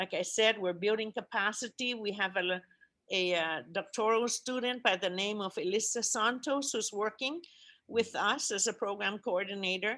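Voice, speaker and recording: A woman's bright, sharp, fairly high voice with a Guamanian accent, at a moderate pace over a quiet background. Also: ordinary pitch variation. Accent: Guamanian (CHamoru) English. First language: CHamoru. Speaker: language commission chairperson. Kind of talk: conference presentation. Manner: halting, many fillers.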